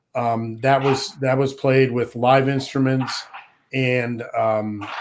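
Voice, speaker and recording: A man talks very slowly at a medium pitch, his intonation monotone and flat. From Rhode Island, New England. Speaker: luthier and songwriter. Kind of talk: casual interview chat. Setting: live stream podcast.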